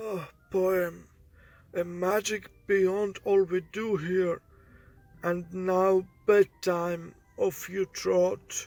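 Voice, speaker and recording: With faint music in the background, a man puts on a cartoonish character voice at a high pitch and a very slow pace. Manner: genial, unhurried.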